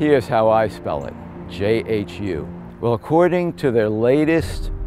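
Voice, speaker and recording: Music plays in the background as a man with a fairly low pitch speaks with lively intonation, the sound dry with no echo. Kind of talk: interview answer. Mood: indignant advocacy. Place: street. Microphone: lapel.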